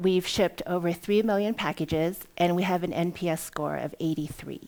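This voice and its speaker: A woman speaks at a moderate pace and medium pitch. Her pitch varies in an ordinary way. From US West Coast, Oakland, California. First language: Cantonese. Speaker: entrepreneur, company CEO. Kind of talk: conference talk.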